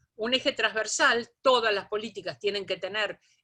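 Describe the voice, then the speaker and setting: Her tone bright and sharp, a woman speaks with a fairly high pitch. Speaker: lecturer. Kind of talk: lecture.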